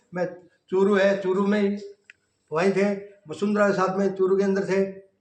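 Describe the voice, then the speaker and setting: Monotone, flat intonation at a moderate pace, very even loudness, and audible room echo. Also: man, high pitch for a man. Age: 60s. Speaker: Modi lookalike, complainant. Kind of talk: interview.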